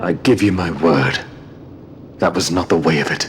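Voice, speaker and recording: A man puts on a character voice with a very deep, low pitch. Background noise is clearly audible. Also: moderate pace. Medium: video game. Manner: solemn, earnest.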